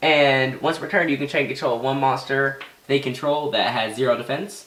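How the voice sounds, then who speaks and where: A man speaks over noticeable background noise. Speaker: card game deck profiler. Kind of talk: casual tutorial. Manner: halting, stuttering.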